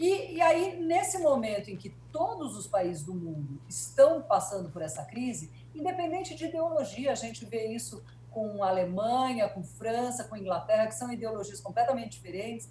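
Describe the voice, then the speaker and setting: Amid audible room echo, a woman speaks at a moderate pace with big swings in loudness. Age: 60s. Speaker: journalist and etiquette consultant. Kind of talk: interview. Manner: hesitant, many fillers.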